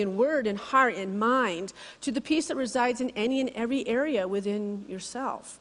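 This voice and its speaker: A woman at a high pitch, fairly quick with hardly any pauses and ordinary pitch variation. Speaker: spiritual speaker. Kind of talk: sermon. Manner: halting, stuttering.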